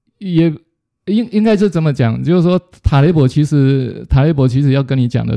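A man with lively intonation and a dark, mellow tone. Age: 50s. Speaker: retired business executive, book club leader. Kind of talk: interview. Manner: halting, with repetitions.

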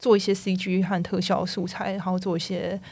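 A woman is speaking at a fairly slow pace. Her pitch sits in the medium range. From Taiwan. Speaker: video game technical artist. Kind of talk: casual interview chat.

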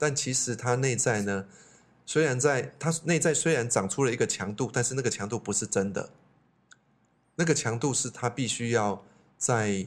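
On a very clean recording with a silent background, a man speaks at a moderate pace in a plain, everyday voice, at a medium pitch with ordinary pitch variation. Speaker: psychology expert, teacher, podcast co-host. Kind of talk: casual chat.

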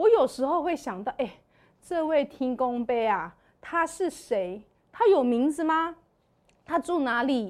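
A high-pitched woman's voice at a very slow pace, with very wide pitch swings and long, frequent pauses, in a very clean recording with a silent background. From Taiwan. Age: 40s. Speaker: church member sharing testimony. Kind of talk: testimony.

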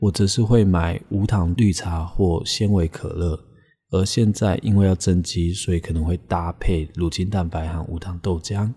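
A very deep, low-pitched man's voice with a dark, mellow tone and a somewhat breathy quality moves at a fairly slow pace with fairly even intonation, in a very clean recording with a silent background. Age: 30s. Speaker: podcast host. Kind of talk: casual solo podcast talk.

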